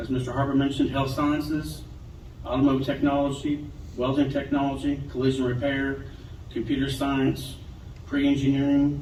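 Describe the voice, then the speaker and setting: With audible room echo, a man with an American accent talks at a moderate pace in a fairly high, flat monotone. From Western Kentucky. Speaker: state education official. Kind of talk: ceremony speech.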